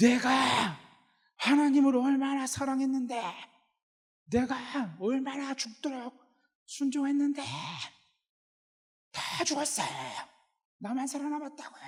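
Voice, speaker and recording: In a put-on character voice, a female-sounding speaker talks at a high pitch and a moderate pace, hoarse and strained, with long, frequent pauses. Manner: furious, pleading outburst.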